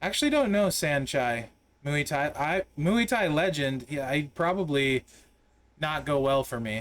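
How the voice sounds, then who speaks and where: A plain, everyday voice from a man, fairly high in pitch, with lively intonation at a fairly slow pace. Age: 40s. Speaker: game streamer. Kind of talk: casual live-stream gameplay commentary chatting with viewers. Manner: relaxed, conversational with many fillers.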